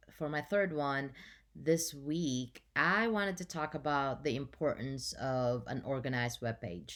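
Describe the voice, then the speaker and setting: A woman with a non-native accent speaks at a fairly slow pace, her pitch very deep and low and her intonation lively. The recording is very clean, with a silent background. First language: not English. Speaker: journalism student. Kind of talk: class presentation. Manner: halting.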